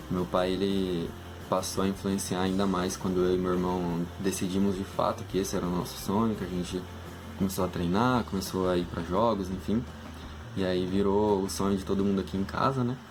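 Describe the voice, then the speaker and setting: Noticeable background noise and audible room echo surround a man's voice. His pitch is very deep and low, and his pace is moderate. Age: 20s. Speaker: engineering student. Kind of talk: casual talk to students about a career. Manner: hesitant, many fillers.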